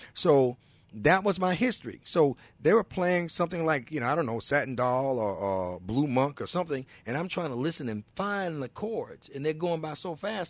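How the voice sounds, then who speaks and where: Very wide pitch swings and an animated tone mark this voice with a Mississippi accent, captured on a very clean recording with a silent background. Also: man. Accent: Southern US (Mississippi). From Mississippi (McComb). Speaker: blues musician. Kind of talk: casual chat. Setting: radio studio.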